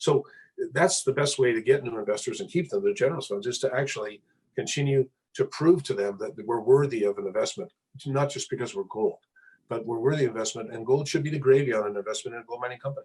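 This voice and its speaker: A man talks very fast at a medium pitch, somewhat breathy and with lively intonation. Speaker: mining company executive. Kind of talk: interview.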